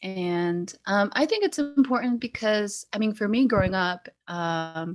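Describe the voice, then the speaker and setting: A woman talks at a fairly slow pace with medium pitch in an American accent. She has a normal speaking voice, and the recording is very clean with a silent background. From Salt Lake City, Utah. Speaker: medical student. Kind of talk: panel discussion.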